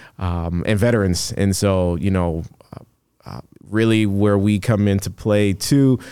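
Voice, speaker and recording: Speaking at a fairly slow pace, a man with an unremarkable speaking voice and an American accent keeps a fairly low pitch, fairly even intonation and very even loudness. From Chicago South Suburbs. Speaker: recruitment company founder and author. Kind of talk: casual interview.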